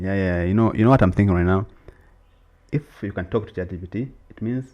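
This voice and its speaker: Speaking at a fairly quick pace in an East African accent, the voice has a dark, mellow tone, ordinary pitch variation and big swings in loudness. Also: man, fairly low pitch for a man. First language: Swahili. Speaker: podcast co-host. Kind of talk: casual chat. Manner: animated.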